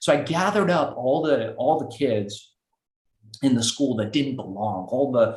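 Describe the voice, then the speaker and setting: A man's somewhat breathy voice in a Los Angeles accent at a moderate pace. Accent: American (Los Angeles). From Iran, raised in Los Angeles. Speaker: entrepreneur. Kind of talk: interview.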